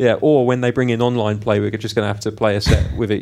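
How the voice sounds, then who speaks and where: This man talks at a fairly quick pace with a British accent. His pitch is fairly low, with ordinary variation. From UK. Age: 30s. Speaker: podcast co-host. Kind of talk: casual chat.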